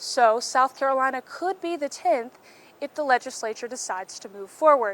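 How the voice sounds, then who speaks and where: A high-pitched woman's voice with an American accent, lively intonation and a moderate pace. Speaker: student news reporter and anchor. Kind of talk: broadcast news package and anchor read.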